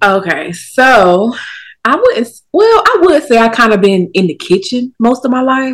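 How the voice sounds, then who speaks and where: A woman with a high pitch and very wide pitch swings speaks at a moderate pace. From US South, Durham, North Carolina. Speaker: food content creator and social media coach. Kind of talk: casual chat.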